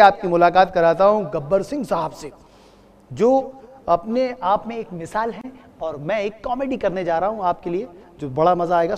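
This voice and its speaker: A man speaks with lively intonation. Light noise sits in the background. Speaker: comedian. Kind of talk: comedy stage patter. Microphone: lapel.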